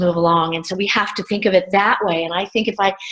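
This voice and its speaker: Against a quiet background, a woman with an American accent speaks at medium pitch with fairly even intonation. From US Midwest, small-town Ohio. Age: 60s. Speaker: workshop participant. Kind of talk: online workshop discussion. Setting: video call. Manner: halting, many repetitions.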